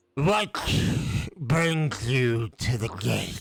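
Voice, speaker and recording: A man does a put-on character voice at a medium pitch. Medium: actual play. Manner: solemn, cryptic.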